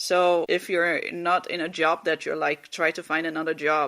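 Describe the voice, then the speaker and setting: A woman with a Dutch accent, fairly low in pitch, at a moderate pace on a very clean recording with a silent background. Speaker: podcast host. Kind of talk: casual monologue. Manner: halting, many fillers.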